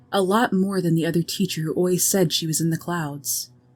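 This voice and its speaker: With music in the background, a woman speaks in a fairly low pitch. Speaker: sleep story narrator. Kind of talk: sleep story narration. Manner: calm, slow, soothing.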